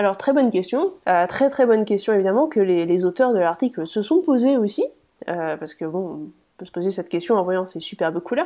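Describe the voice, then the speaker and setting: Speaking at a fairly quick pace, a woman of medium pitch has a dark, mellow tone and lively intonation. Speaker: podcast co-host. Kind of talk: casual chat.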